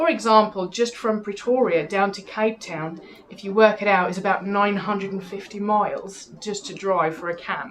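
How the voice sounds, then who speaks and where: In a South African accent, a woman talks with hardly any pauses, ordinary pitch variation and big swings in loudness over noticeable background noise. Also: medium pitch for a woman, moderate pace. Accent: Afrikaans South African. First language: Afrikaans. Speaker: TV presenter. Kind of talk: interview.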